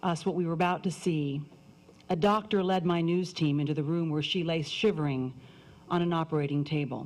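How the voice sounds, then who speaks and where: Her tone is serious and her pitch fairly low. The woman speaks at a moderate pace. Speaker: news anchor. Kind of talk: commencement speech. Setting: live stage address to an audience. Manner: serious, emotional storytelling.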